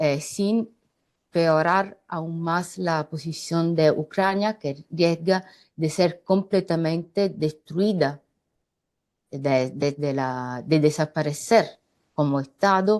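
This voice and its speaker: A woman with a non-native accent and fairly low pitch, at a very slow pace. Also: ordinary pitch variation. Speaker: political analyst. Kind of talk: panel discussion. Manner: halting.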